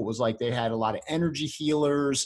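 An animated man with a fairly high pitch, ordinary pitch variation and a quiet background. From US, Baltimore, Maryland. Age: 40s. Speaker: endodontist. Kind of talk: casual interview.

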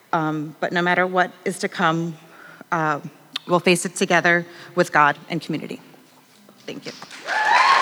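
Fairly slow speech from a woman with fairly low pitch, monotone, flat intonation and long, frequent pauses, over noticeable background noise. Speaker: church member sharing testimony. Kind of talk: reading aloud. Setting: church with audience.

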